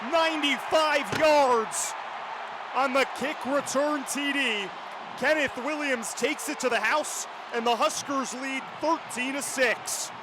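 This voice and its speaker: A man with an extremely high pitch speaks at a very slow pace amid noticeable background noise. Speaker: sports play-by-play announcer. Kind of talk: radio sports play-by-play.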